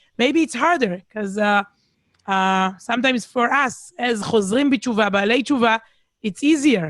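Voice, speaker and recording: Against a quiet background, a woman with an Israeli accent talks at a moderate pace in a high voice. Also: dry, close sound with no echo. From Israel, Herzliya near Tel Aviv. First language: Hebrew. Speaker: speaker. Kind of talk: casual chat. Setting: video call.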